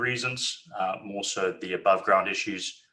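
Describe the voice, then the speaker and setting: This is a man with a Zimbabwean accent. He speaks at a moderate pace. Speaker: company managing director. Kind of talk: investor webinar presentation. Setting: webinar. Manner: hesitant, many fillers.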